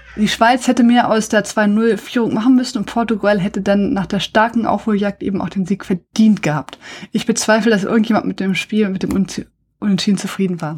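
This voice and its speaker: A woman talks at a fairly quick pace in a fairly high pitch. Her voice is somewhat breathy. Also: ordinary pitch variation. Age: 40s. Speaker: podcast host. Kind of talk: casual chat.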